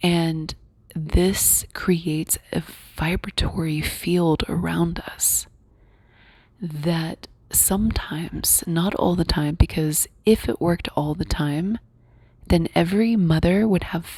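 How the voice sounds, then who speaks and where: Very slowly, a woman speaks in a somewhat breathy voice with a dark, mellow tone, a fairly low pitch and fairly even intonation. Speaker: reality shifting coach and guide. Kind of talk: casual talk to camera, coaching talk.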